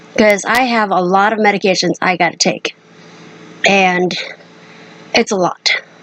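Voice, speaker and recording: A woman with a medium-pitched voice speaks at a moderate pace, her loudness very even. There are long, frequent pauses, and background noise is noticeable. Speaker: vlogger with cystic fibrosis. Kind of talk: personal vlog. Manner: halting.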